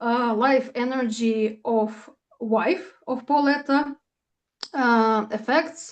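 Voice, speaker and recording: A woman speaks in a Russian accent at a very slow pace. Her pitch is fairly high, with ordinary pitch variation. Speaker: astrologer. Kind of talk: casual chat. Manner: halting, many fillers.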